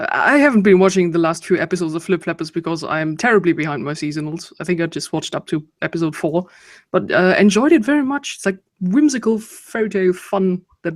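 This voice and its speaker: The speech moves at a fairly quick pace with a slight German accent. The recording is very clean, with a silent background. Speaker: video chat participant. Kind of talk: casual chat.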